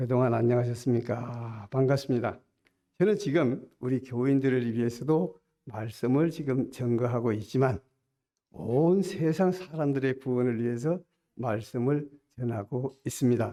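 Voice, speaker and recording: In a dark, mellow tone, a man speaks at a fairly slow pace and medium pitch, with ordinary pitch variation and very even loudness. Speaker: preacher. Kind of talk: sermon.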